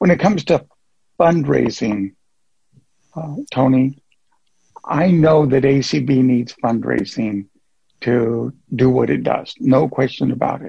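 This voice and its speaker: A somewhat breathy, dark, mellow voice at a very slow pace, with long, frequent pauses and ordinary pitch variation. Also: man, medium pitch for a man. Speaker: caller. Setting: phone call.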